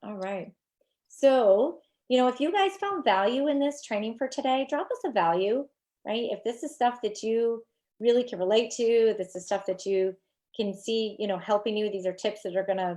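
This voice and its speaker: A woman with an American accent speaks at a moderate pace in a fairly high pitch with ordinary pitch variation. Her tone is dark and mellow, over a quiet background. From New York. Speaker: social media marketing coach. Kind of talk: live stream training. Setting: live video stream.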